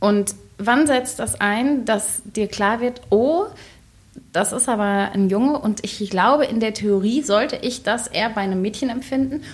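This woman's voice sits at a fairly high pitch, somewhat breathy, moving at a fairly slow pace with ordinary pitch variation. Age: 30s. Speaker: podcast co-presenter interviewing the host. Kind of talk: casual interview.

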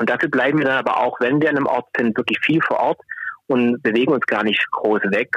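A man's medium-pitched voice at a fairly quick pace, with a dry, close sound and no echo. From Swabia, southwest Germany. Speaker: climate protection worker. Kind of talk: phone interview. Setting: phone call.

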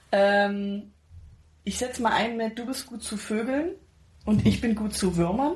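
Here a woman speaks in a somewhat breathy way. Her pitch is fairly high. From Pirna near Dresden, Saxony, Germany. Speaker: podcast co-host. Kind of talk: casual chat.

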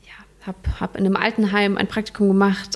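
A woman is speaking. Her tone is slightly mellow.

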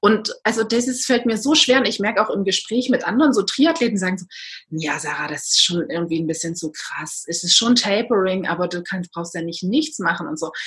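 Over noticeable background noise, a woman at medium pitch speaks fairly quickly with lively intonation. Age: 30s. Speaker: endurance athlete. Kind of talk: interview.

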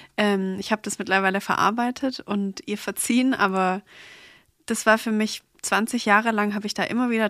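A woman with a plain, everyday voice speaks fairly quickly at a medium pitch, her intonation fairly even. The sound is dry and close with no echo, on a very clean recording with a silent background. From Stuttgart, southwest Germany. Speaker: hair salon founder. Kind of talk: casual chat.

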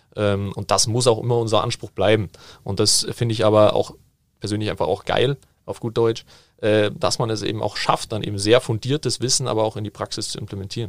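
A fairly low-pitched man, fairly quick, in an unremarkable speaking voice, on a very clean recording with a silent background. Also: fairly even intonation. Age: 20s. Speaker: football management educator. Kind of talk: casual interview.

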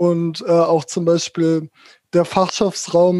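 Very slowly and in a flat monotone, a man speaks with a dark, mellow tone at a high pitch. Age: 20s. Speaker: social work student with spasticity. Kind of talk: interview.

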